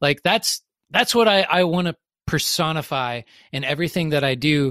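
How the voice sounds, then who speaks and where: On a very clean recording with a silent background and a dry, close sound with no echo, a man with an American accent uses a normal speaking voice, fairly high in pitch, with ordinary pitch variation at a moderate pace. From US South. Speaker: business consultant. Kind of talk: interview conversation.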